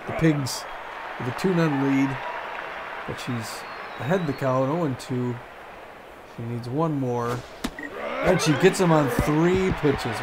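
Over noticeable background noise, a man speaks at a very slow pace with ordinary pitch variation and long, frequent pauses. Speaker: gaming channel host. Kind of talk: casual chat. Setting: video game let's play.

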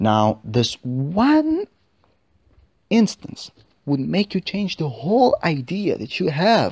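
Speaking with a non-native accent at a very slow pace, the voice comes over a quiet background. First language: not English. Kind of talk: religious podcast reflection.

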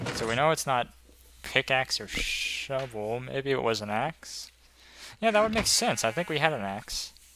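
Speaking at a moderate pace, a man with a medium pitch makes very wide pitch swings. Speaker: gaming video creator. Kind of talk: let's play commentary. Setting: home recording. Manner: thinking aloud, hesitant.

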